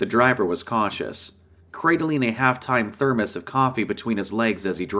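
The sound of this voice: The text is delivered in an unforced reading voice with ordinary pitch variation.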